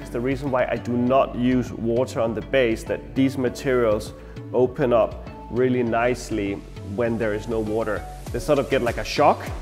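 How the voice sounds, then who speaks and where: Clear music plays in the background as a man speaks with fairly even intonation. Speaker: florist instructor. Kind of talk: tutorial. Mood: warm, nostalgic. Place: studio. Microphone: lapel.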